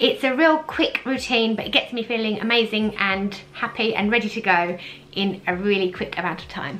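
Over light background noise, a woman speaks at a moderate pace with lively intonation. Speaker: beauty vlogger. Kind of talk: casual vlog chat. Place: home room.

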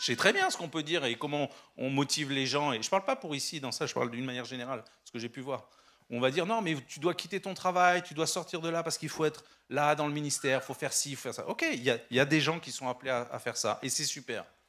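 A man talks very fast in a bright, sharp tone, his fairly high pitch showing ordinary variation. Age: 50s. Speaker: entrepreneur and guest speaker; guest. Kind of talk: sermon. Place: church. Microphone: handheld.

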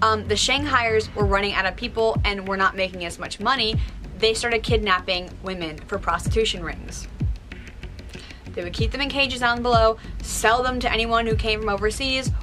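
A woman at a moderate pace, clear music playing behind her. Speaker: video host. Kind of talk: casual vlog storytelling. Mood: spooky, disgusted at parts.

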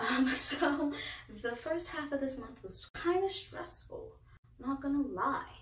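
Woman speaking at a moderate pace, light background noise, audible room echo. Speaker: book reviewer. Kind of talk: casual vlog chat. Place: home room.

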